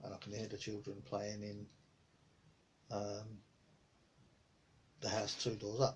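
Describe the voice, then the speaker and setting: A man mumbles in a relaxed tone with fairly low pitch. There is noticeable background noise. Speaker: hobbyist painter and boat builder. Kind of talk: casual talk to camera. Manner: mumbling, relaxed, chatty.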